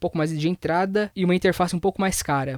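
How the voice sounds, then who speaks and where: On a very clean recording with a silent background, a man speaks very fast in a high voice with fairly even intonation. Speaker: audio gear reviewer. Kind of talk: product review tutorial. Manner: speaking loudly.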